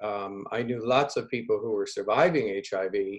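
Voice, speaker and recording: A man with a normal speaking voice keeps a moderate pace and shows ordinary pitch variation. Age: 60s. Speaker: researcher, former nurse in Africa. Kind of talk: community video call discussion.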